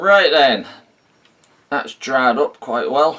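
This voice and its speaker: At a fairly slow pace, a man delivers his lines. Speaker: hobbyist video maker. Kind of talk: tutorial. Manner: slow, deliberate.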